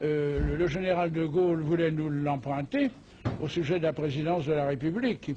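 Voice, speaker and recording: A man's fairly slow delivery, fairly high in pitch, with ordinary pitch variation and a dark, mellow tone. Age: 80s+. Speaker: former grand master of a masonic order. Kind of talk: interview. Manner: hesitant with frequent fillers.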